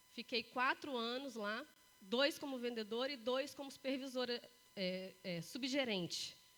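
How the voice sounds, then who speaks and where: A woman speaks at a high pitch and a fairly slow pace. Her tone is bright and sharp. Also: ordinary pitch variation. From Brazil, Três Corações, Minas Gerais. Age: 40s. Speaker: motivational speaker. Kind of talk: talk to live audience.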